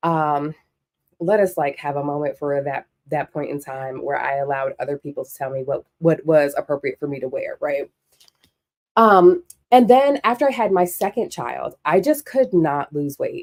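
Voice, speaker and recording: A woman's very deep, low voice, animated with lively intonation and big swings in loudness, at a moderate pace, dry and close with no echo. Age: 40s. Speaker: sewing show host. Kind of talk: casual monologue.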